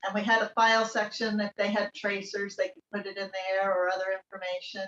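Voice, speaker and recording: A woman with an unremarkable speaking voice talks at a fairly quick pace and a fairly high pitch. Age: 60s. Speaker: artist. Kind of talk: casual chat.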